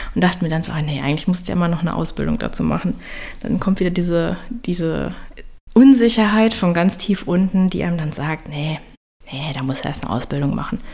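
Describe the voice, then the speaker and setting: A woman speaks at a fairly low pitch with lively intonation. Noticeable background noise runs behind her. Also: fairly quick pace. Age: 30s. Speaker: health coach and podcast host. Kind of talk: solo podcast monologue. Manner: casual, chatty.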